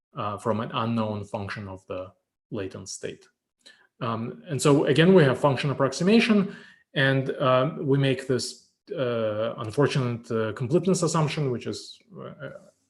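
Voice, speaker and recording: Lively intonation and big swings in loudness mark this man's somewhat breathy voice. His pace is moderate. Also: medium pitch for a man. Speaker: professor. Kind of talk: lecture. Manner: halting, many fillers.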